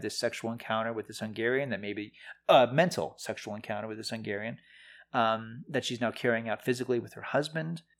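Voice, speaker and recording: A man's medium-pitched delivery, an ordinary speaking voice, runs at a fairly quick pace with ordinary pitch variation. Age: 40s. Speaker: film critic, podcast co-host. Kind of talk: casual chat.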